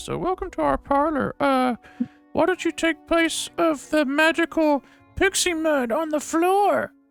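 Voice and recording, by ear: Over faint background music, a woman puts on a character voice with a high pitch at a moderate pace.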